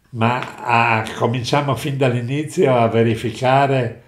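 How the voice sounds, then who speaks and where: With audible room echo but a quiet background, a man speaks at a very slow pace in fairly even intonation. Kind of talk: interview answer. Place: home room.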